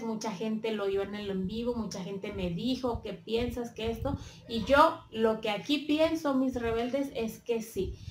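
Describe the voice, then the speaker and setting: A woman talks at a fairly slow pace with a fairly high pitch and ordinary pitch variation. The room has audible echo and light background noise. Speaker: YouTube commentator. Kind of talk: casual talk to camera. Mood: earnest, a bit emotional. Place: home room. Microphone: phone near.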